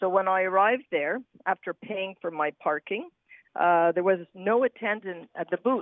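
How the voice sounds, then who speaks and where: A woman's medium-pitched voice with a Montreal accent. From Quebec. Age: 60s. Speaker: caller. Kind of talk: testimony.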